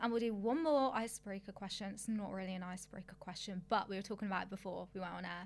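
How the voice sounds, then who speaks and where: With a British accent, a woman talks at a very fast pace with hardly any pauses. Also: medium pitch for a woman, ordinary pitch variation. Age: 20s. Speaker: podcast co-host, fitness coach. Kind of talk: reading statistics aloud; casual chat.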